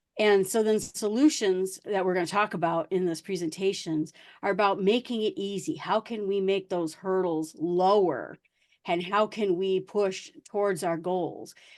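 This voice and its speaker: Against a quiet background, a woman with an American accent speaks at a moderate pace and medium pitch. She has an unremarkable speaking voice with ordinary pitch variation. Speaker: guest speaker, tech podcaster. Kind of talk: presentation talk.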